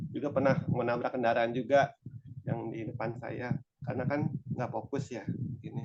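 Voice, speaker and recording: A somewhat breathy man at a moderate pace, medium in pitch, with monotone, flat intonation. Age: 40s. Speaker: testimony giver, healed patient. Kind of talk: testimony. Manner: halting.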